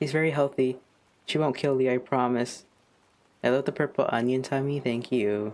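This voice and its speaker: Speaking at a moderate pace with long, frequent pauses, a man keeps a medium pitch, fairly even intonation and very even loudness. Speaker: streamer and digital artist. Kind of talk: casual chat. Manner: monotone; halting.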